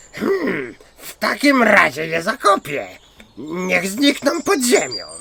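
Speaking at a fairly slow pace, a man uses a put-on character voice pitched high. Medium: read story. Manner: impulsive.

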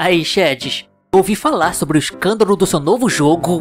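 A man performs a put-on character voice, high in pitch, at a moderate pace. Faint music plays in the background. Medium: dub. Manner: mocking, playful.

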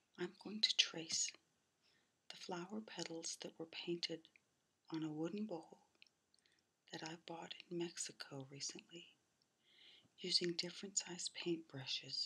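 Soft-spoken and fairly slow, the speaker leaves long, frequent pauses. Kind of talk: ASMR soft-spoken narration.

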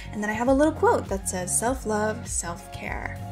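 There is clear music behind her. The woman talks at a fairly quick pace. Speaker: vlogger. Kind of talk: casual vlog chat. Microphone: phone near.

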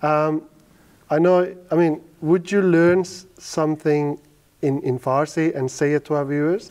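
Against a quiet background, the speech runs at a fairly slow pace with fairly even intonation. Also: man, fairly high pitch for a man. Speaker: interviewer. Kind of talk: interview. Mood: friendly, smiling. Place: studio.

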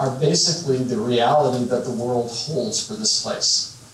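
The speaker has an American accent and a fairly slow pace with ordinary pitch variation. Light background noise and audible room echo are present. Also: man. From northwestern Illinois. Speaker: business founder, keynote speaker; keynote speaker. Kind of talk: keynote talk. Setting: stage with audience. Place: hall.

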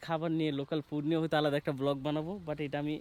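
A man speaks in a fairly high pitch with a monotone, flat intonation. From Bangladesh, Kishoreganj (Bhairab). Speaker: travel vlogger. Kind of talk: casual travel vlog narration. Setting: outdoors in a village.

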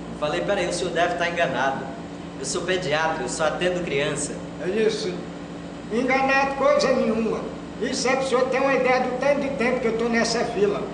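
A man with a high pitch and lively intonation at a fairly quick pace, amid noticeable background noise and audible room echo. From Brazil. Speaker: stand-up comedian. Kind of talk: stand-up comedy. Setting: stage with audience. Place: home room.

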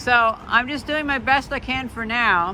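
A woman's voice has a bright, sharp tone. The sound is dry with no echo, with light background noise. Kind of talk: casual vlog chat. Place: street. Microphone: phone near.

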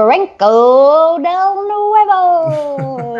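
A woman performs a dramatic put-on character voice at an extremely high pitch. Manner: dramatic, drawn-out announcement.

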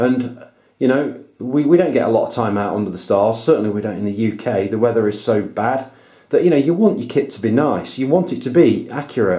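A man's medium-pitched voice with a British accent, a dark, mellow tone and a fairly quick pace. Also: lively intonation. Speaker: amateur astronomer, video tutorial maker. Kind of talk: tutorial. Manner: enthusiastic.

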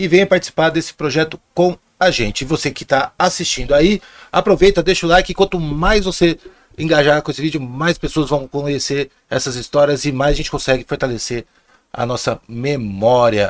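Pitch variation is ordinary. The background is quiet. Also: man, moderate pace. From Ribeirão Preto, interior São Paulo state; São Paulo state, Brazil. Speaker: podcast host. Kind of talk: show host intro and promos. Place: studio. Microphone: studio mic.

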